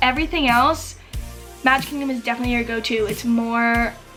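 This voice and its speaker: A woman with an American accent speaks at a fairly high pitch in a monotone, flat intonation. Music plays in the background. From Massachusetts. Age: 20s. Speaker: Disney YouTuber. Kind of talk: casual talk to camera.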